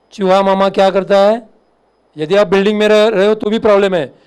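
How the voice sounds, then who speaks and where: A man with a Marathi accent speaks at a high pitch in a monotone, flat intonation. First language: Marathi (speaking Hindi). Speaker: fire officer. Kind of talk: lecture.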